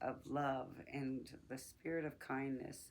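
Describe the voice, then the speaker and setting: A woman speaks with a very deep, low voice. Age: 60s. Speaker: podcast host. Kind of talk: personal reflection monologue. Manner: conversational, with hesitations.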